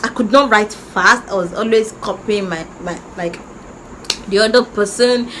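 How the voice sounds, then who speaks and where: A woman with a Nigerian accent and a fairly high pitch speaks at a fairly slow pace against noticeable background noise. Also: fairly even intonation. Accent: Nigerian (Yoruba) English. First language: Yoruba. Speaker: YouTuber. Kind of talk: personal story time. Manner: halting.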